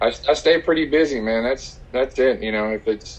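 A man's unremarkable speaking voice, moderately paced, its pitch varying in an ordinary way. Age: 30s. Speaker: youth football coach and semi-pro football player. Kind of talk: casual interview.

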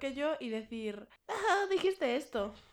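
A loud woman's voice with a high pitch. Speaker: podcast co-host. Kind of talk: casual chat. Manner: fast.

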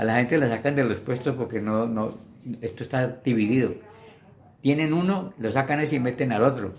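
With noticeable background noise behind him, a man talks with ordinary pitch variation. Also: medium pitch for a man, moderate pace. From Colombia, Valle del Cauca. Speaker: interviewee, elderly witness of Colombian history. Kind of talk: oral history interview. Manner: halting.

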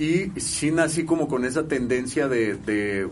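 A man's voice with audible room echo. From Mexico, Guadalajara, Jalisco. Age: 30s. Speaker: musician. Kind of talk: casual chat.

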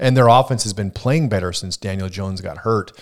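A fairly low-pitched man at a very fast pace. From Wisconsin (Superior). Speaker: sports betting podcast host. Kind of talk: casual chat. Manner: hesitant, many filler uhs.

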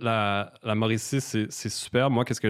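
This is an unremarkable speaking voice with fairly even intonation. The recording is very clean with a silent background. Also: man. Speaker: singer-songwriter. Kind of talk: casual chat.

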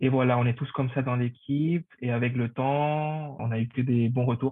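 This is a man speaking with a Spanish accent. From Paraguay. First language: Spanish (speaking French). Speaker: hotel front office manager. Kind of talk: interview.

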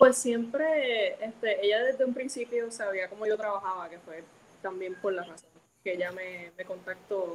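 A woman uses an ordinary speaking voice at medium pitch and a moderate pace. Her pitch variation is ordinary, with big swings in loudness. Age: 20s. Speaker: comic book colorist. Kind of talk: interview. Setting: live stream.

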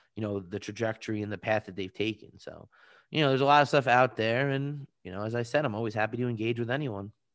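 Speaking very fast in a New York accent, a man at medium pitch uses ordinary pitch variation, the sound dry and close with no echo over a quiet background. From Long Island, New York. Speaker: entertainment and esports attorney. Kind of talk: interview.

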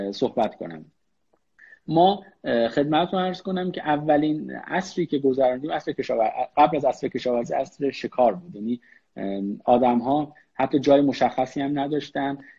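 With lively intonation and a plain, everyday voice, a man talks at a fairly slow pace in a fairly high pitch. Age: 30s. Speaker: business executive. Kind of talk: online interview. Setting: Instagram live.

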